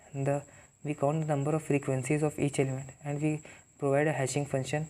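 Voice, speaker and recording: A man with an Indian accent, fairly high in pitch and fairly quick, his dark, mellow tone monotone and flat. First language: Hindi. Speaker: programming tutor. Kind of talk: tutorial. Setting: talking to camera. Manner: halting.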